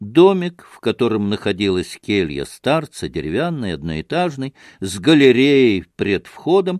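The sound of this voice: The clip is read in an unforced reading voice. Nothing else stands out.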